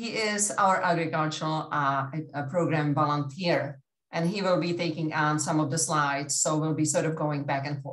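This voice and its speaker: Speaking at a moderate pace with hardly any pauses, this voice has a non-native accent and fairly even intonation. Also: woman, very deep, low pitch for a woman. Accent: foreign. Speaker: agricultural educator. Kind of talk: workshop presentation.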